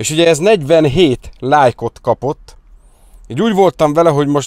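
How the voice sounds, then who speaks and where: A man's voice with ordinary pitch variation, dry sound with no echo and a quiet background. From Hungary. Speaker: car detailing youtuber; car detailing vlogger. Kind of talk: casual vlog talk to viewers; casual vlog chat. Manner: casual, fast, with fillers. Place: car. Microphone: lapel.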